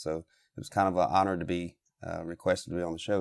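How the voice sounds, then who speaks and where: A fairly quick, monotone delivery with flat intonation and an American accent. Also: man. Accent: fading Southern. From US South, South Carolina. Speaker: turkey calling expert. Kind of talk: phone interview.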